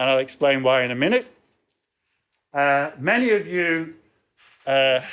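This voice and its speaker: Recorded very cleanly with a silent background, a man with an English accent talks at a moderate pace with ordinary pitch variation. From England. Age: 60s. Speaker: professor. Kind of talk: lecture.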